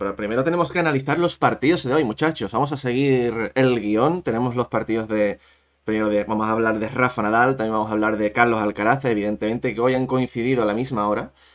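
Talking very fast at a medium pitch, a man shows ordinary pitch variation on a very clean recording with a silent background. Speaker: tennis youtuber. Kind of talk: live-stream tennis chat.

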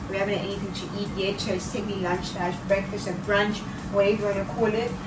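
A woman speaks. Music plays in the background. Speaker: vlogger. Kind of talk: casual vlog chat. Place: kitchen. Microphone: camera far.

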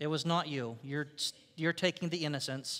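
A man is speaking. His pitch varies in an ordinary way. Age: 50s. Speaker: pastor. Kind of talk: sermon. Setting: church. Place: church.

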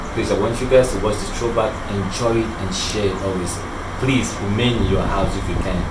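A man speaks with music playing in the background. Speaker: comedy channel host. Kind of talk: casual vlog chat. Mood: earnest, pleading. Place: street. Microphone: phone near.

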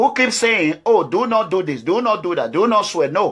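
A man with a high voice, animated and lively in intonation, at a moderate pace against a quiet background. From Nigeria, Edo State. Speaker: political activist. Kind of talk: political address to viewers. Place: home room. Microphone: phone near.

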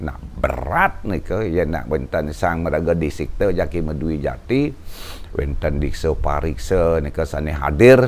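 A man speaks at a fairly slow pace. His very deep, low voice carries lively intonation. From Bali, Indonesia; Indonesia. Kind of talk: storytelling interview. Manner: formal.

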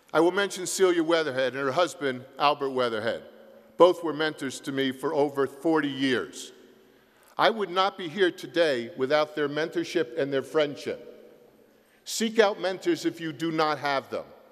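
In a plain, everyday voice, a man talks at a moderate pace with fairly high pitch and ordinary pitch variation, on a very clean recording with a silent background. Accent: American. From US Northeast, South Jersey. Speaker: university president emeritus, commencement speaker. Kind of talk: commencement address. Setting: concert hall stage with audience.

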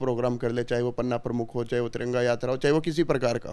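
Using fairly even intonation, a man talks at a medium pitch. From Haryana, India. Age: 20s. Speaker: politician's son. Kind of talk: interview. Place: home room. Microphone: handheld.

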